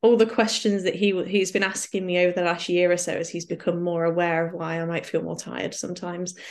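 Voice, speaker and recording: A woman's fairly low voice, an unremarkable speaking voice, at a fairly quick pace with hardly any pauses and fairly even intonation against a quiet background. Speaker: patient advocate and author. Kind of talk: casual interview chat.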